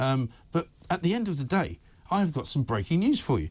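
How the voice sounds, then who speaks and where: Against a quiet background, a man speaks in a passionate tone at a fairly quick pace. His pitch swings very widely, with vocal fry. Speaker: talk radio presenter. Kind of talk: opinionated talk radio monologue. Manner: passionate, ranting, sarcastic.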